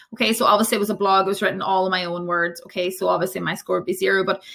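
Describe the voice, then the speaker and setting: Bright and sharp in tone, a woman speaks at a very fast pace. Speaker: primary teacher. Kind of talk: conference tutorial. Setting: conference presentation.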